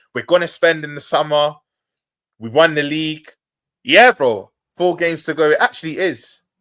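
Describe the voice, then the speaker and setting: At a moderate pace, a bright, sharp voice with ordinary pitch variation shows big swings in loudness and long, frequent pauses, in a very clean recording with a silent background. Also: man, fairly high pitch for a man. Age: 20s. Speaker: football fan pundit. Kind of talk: casual chat. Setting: live stream. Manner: animated.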